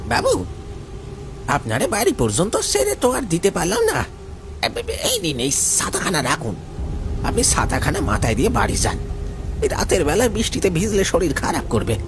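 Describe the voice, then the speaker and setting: A man's put-on character voice at a moderate pace, over loud background noise. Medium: read story. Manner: humble and polite at first, later menacing.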